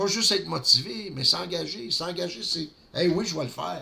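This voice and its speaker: With a Quebec accent, a man uses very wide pitch swings, a bright, sharp tone and vocal fry. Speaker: network marketing vlogger. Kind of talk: solo vlog monologue.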